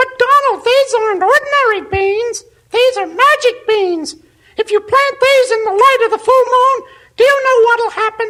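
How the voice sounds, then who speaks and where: An extremely high-pitched, squeaky put-on character voice moves along at a moderate pace. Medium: audio drama. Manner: earnest, upbeat.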